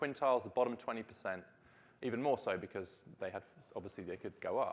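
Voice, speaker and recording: A man with a British accent talks at a very fast pace. His medium-pitched voice has lively intonation. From Britain. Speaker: policy researcher. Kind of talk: conference talk.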